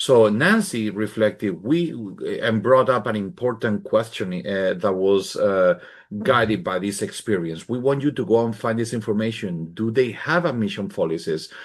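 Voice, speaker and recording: With lively intonation, a man talks at a moderate pace and medium pitch. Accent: Spanish. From Spain. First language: Spanish. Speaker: professor. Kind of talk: conference presentation. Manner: halting.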